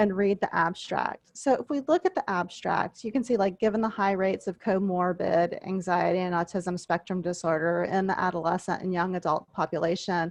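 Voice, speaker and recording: A woman's normal speaking voice in an American accent, medium in pitch with ordinary variation, at a fairly quick pace with hardly any pauses, in a dry, close sound with no echo. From US South, coastal southwest Louisiana (Vermilion Parish). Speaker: university instructor. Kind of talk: online class lecture. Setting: video call.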